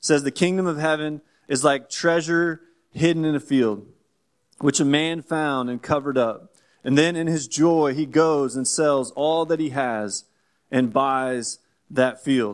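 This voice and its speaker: A man with an American accent and a plain, everyday voice, fairly high in pitch, with ordinary pitch variation and a fairly slow pace. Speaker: church planter. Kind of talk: church announcement talk. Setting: church.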